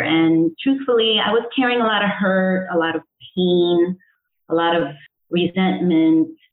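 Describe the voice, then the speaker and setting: Using a plain, everyday voice, this woman talks at a moderate rate, her pitch sitting fairly low. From Connecticut, US (born in El Salvador). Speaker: integrative health coach. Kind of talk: interview.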